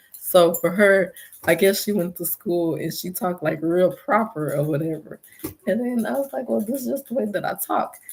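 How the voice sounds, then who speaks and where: A moderate pace marks this voice with an American accent. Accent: Houston Texas accent, noticed by others. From Texas, Houston. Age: adult. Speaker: YouTuber selling Texas designs. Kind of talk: casual livestream talk.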